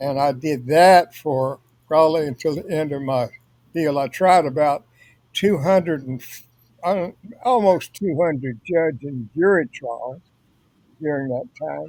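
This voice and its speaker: A man's fairly slow speech in a Louisiana accent, fairly high in pitch, with ordinary pitch variation and long, frequent pauses. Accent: Southern US (Louisiana). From US South (northwest Louisiana near Texas). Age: 80s+. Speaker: author, retired lawyer. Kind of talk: interview. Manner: halting.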